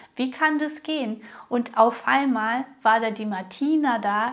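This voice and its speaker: A woman with a high pitch and ordinary pitch variation speaks at a very slow pace. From Russia. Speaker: business coach and podcast host. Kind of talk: solo podcast monologue.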